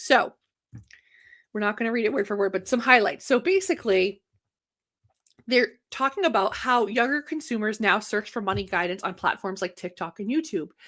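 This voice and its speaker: Pitched fairly high, a woman talks at a moderate pace with lively intonation and long, frequent pauses on a very clean recording with a silent background. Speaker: banker and live show host. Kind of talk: casual livestream talk. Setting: livestream with chat.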